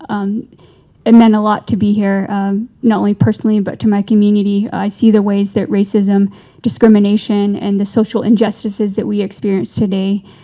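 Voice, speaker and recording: A woman talks at a fairly quick pace and medium pitch. Her tone is dark and mellow, her intonation monotone and flat. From Navajo Nation. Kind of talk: panel discussion. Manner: halting.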